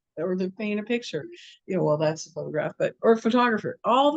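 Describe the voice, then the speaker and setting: A woman with an American accent talks at a fairly quick pace with vocal fry and very wide pitch swings, in a dry, close sound with no echo. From Southern California. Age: 70s. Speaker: massage therapist. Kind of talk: interview. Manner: animated.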